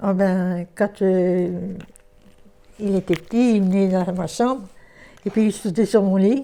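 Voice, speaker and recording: A woman's dark, mellow voice at a very slow pace, with fairly even intonation and long, frequent pauses. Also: medium pitch for a woman. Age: 80s+. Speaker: elderly resident in foster family. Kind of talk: interview testimony. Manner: halting.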